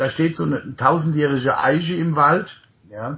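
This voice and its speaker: A man speaks in a normal speaking voice at a fairly high pitch, with lively intonation and a moderate pace. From Germany, Rhine-Main area near Mainz. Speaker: podcast host and coach. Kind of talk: conversational interview. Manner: frequent fillers and tag ja.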